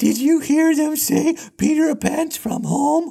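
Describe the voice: Whispering in a put-on character voice, the speaker goes at a fairly slow pace.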